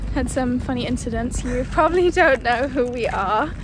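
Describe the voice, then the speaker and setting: A woman against noticeable background noise. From London, England. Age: 20s. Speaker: medical student, vlogger. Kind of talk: casual chat. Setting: outdoors, walking.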